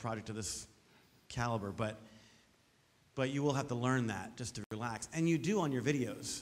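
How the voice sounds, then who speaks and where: The man's pitch variation is ordinary. He speaks at a very fast pace. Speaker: teacher on a project review panel; panel judge. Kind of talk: feedback to a student. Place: hall.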